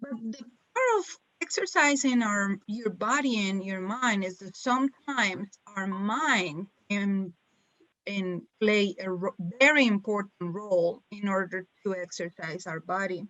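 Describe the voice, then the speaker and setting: A woman with a strong non-native accent speaks at a fairly slow pace. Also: medium pitch for a woman, ordinary pitch variation. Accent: strong foreign. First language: not English. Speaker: webinar presenter on self care. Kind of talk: webinar presentation. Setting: online webinar.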